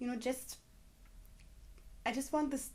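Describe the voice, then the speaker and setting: Her intonation fairly even, a woman speaks with a German accent. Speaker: vlogger. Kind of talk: personal testimony vlog.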